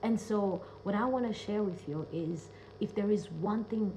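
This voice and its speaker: Speaking at a fairly slow pace, a woman with a non-native accent has a medium pitch and an animated tone. Her pitch varies in an ordinary way, and there is noticeable background noise. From Kenya. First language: not English. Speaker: self-love coach and speaker. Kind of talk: casual vlog monologue.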